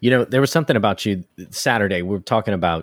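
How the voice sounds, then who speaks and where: Very deep and low, a man's voice carries a Southern US accent and ordinary pitch variation. The recording is very clean with a silent background and a dry, close sound with no echo. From US South, South Louisiana. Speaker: hobby maker, podcast co-host. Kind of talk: casual chat.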